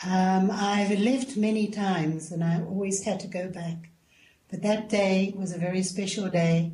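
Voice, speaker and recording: A woman with a South African accent, medium pitch and fairly even intonation, fairly slow pace, noticeable background noise and audible room echo. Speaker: spiritual guest. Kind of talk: radio interview.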